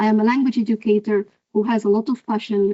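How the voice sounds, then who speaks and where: A woman's fairly high voice in an Arabic accent, fairly quick, with fairly even intonation. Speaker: professor. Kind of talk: lecture.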